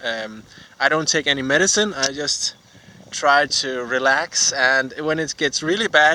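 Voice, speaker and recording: A fairly slow voice in a Danish accent, with ordinary pitch variation. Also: man, fairly high pitch for a man. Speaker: vlogger. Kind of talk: casual vlog monologue. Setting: outdoors while cycling. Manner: halting, many fillers.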